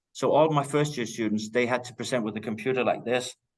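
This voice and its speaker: A man with a Danish accent and a medium-pitched voice. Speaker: teacher. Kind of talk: lecture. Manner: loud.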